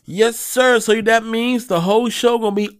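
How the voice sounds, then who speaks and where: The speaker uses an animated tone. Music plays in the background. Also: man. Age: 40s. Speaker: podcast host. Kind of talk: casual solo monologue.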